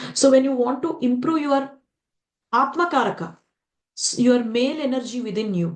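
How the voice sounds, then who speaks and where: In an Indian accent, a woman speaks at a moderate pace with high pitch and lively intonation. Long pauses come often. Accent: Indian English, Telugu. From India, Telugu-speaking region. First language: Telugu. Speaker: spiritual teacher. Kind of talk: lecture. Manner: animated, many rhetorical questions.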